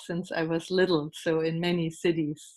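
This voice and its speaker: Against a quiet background, a woman speaks at a medium pitch with a German accent. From East Germany. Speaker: German language teacher. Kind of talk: audience question. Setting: video call.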